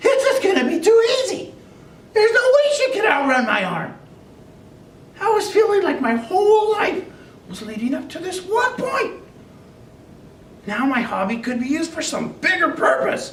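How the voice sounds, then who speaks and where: In a put-on character voice, the speaker uses an extremely high pitch with very wide pitch swings and long, frequent pauses, with slight echo. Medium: audio drama. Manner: chatty, comic.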